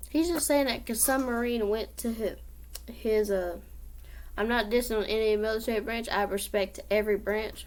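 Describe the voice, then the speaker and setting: A woman with an American accent, fairly high pitch and ordinary pitch variation. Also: moderate pace. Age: 20s. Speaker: vlogger. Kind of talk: casual vlog monologue.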